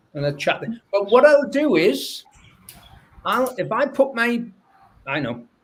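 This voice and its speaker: With a northern English accent, a man speaks at a moderate pace. His pitch swings very widely. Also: long, frequent pauses, big swings in loudness. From northern England. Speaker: academic researcher. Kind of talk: panel discussion. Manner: halting.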